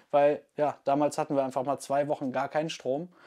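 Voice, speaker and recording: The background is quiet while a man talks at a moderate pace. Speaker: crossbow channel host. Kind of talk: casual vlog chat. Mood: relaxed, sometimes laughing. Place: home room. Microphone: lapel.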